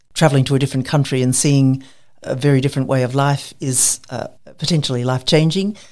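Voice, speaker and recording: An Australian accent comes from a woman with a very deep, low pitch. She talks at a very fast pace with fairly even intonation. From Queensland, Australia. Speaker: medical researcher. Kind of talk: interview.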